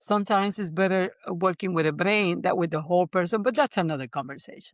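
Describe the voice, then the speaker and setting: A woman's medium-pitched voice with a Spanish accent and lively intonation, dry and close with no echo, over a quiet background. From Puerto Rico. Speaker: neuroscience-based coach and business founder. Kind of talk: interview storytelling.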